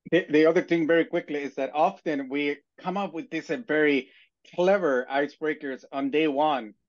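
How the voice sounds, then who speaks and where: A man's fairly high voice at a moderate pace, with ordinary pitch variation and a quiet background. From immigrant, outside the US. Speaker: university instructor, panelist. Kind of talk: webinar panel discussion. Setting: online webinar. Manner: halting, many fillers.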